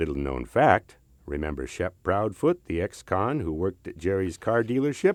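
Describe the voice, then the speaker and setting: A man with a very deep, low pitch talks at a moderate pace, his voice showing vocal fry and very wide pitch swings. The sound is dry and close with no echo, over a quiet background. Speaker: actor.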